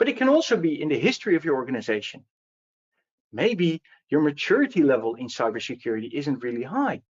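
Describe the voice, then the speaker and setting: The speaker has a Dutch accent and talks at a fairly quick pace. Their pitch swings very widely. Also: man. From Netherlands. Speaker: security advocate. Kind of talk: webinar presentation. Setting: online webinar.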